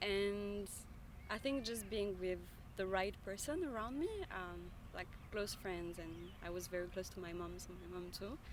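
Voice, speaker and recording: In a room with audible echo, a woman with a French accent speaks at a moderate pace, leaving long, frequent pauses. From France. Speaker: member of the public interviewed on the street. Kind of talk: casual street interview. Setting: outdoors in a park. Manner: halting, many fillers.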